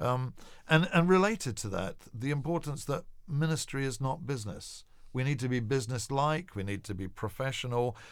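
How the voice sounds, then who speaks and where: On a very clean recording with a silent background, a man speaks at medium pitch. His pace is moderate and his intonation lively. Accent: English. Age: 50s. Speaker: evangelist and charity founder. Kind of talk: interview.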